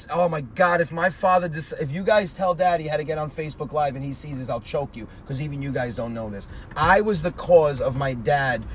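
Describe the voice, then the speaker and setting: With an American accent, this man speaks at a fairly quick pace in a fairly high pitch, his intonation lively over noticeable background noise. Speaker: comedian. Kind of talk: casual interview chat.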